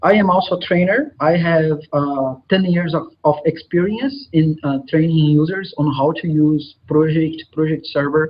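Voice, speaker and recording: Delivered with ordinary pitch variation, the speech runs on with hardly any pauses. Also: man, fairly high pitch for a man, fairly slow pace. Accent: Brazilian Portuguese. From Brazil. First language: Portuguese. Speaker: software consultant and trainer. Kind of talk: conference presentation. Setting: live online conference. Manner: hesitant with frequent filler sounds.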